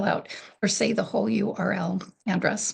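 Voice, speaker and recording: A woman talks with a fairly high pitch. Her voice carries vocal fry. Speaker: program coordinator presenting software tutorial. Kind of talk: webinar tutorial presentation. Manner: soft-spoken; hesitant, many fillers.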